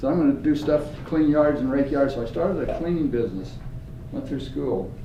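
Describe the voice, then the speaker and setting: An American accent at a fairly quick pace with ordinary pitch variation, audible room echo and noticeable background noise. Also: man, fairly high pitch for a man. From US West, rural Idaho. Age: 80s+. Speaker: business owner and speaker. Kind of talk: speech to a class. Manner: animated.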